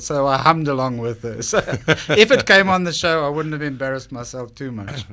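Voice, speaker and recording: Speaking very fast with a South African accent, a man swings his pitch very widely on a very clean recording with a silent background. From South Africa, Cape Town. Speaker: business owner pitching on TV show, radio guest. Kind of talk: radio interview.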